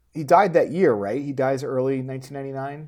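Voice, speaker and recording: A man's unremarkable speaking voice, fairly high-pitched and ordinary in pitch variation. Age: 30s. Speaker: filmmaker. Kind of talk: casual chat.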